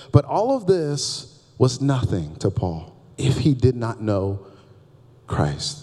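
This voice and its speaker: A somewhat breathy male voice of medium pitch with a dark, mellow tone. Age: 30s. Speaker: pastor. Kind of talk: sermon. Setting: church. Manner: animated.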